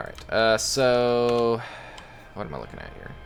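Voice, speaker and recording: Music plays in the background as a man speaks. The room echo is audible. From East Tennessee. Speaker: indie game developer streamer. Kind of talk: casual livestream commentary. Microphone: voice level adjusted with compressor, was too quiet.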